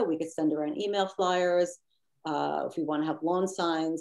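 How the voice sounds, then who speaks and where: This woman's voice is dark and mellow, pitched fairly low. She talks at a fairly quick pace. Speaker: committee member presenting program. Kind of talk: committee meeting discussion. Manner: fast.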